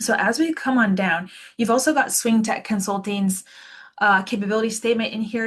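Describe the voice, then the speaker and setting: A woman talks at a very fast pace in a somewhat breathy voice. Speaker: software product demonstrator. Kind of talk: webinar product demo. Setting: online webinar. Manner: casual, enthusiastic.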